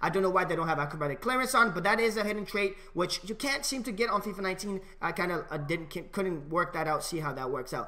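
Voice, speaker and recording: A man with a high voice talks at a very fast pace with hardly any pauses. His voice is raised and projected, with lively intonation. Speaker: gaming video creator. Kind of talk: tutorial; commentary. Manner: casual, with many fillers. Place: home room. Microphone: headset.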